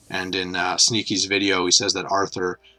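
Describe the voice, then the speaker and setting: A moderate pace, a non-native accent and a bright, sharp tone. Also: man. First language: not English. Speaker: gaming YouTuber. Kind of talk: casual commentary video. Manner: off the cuff, hesitant with fillers.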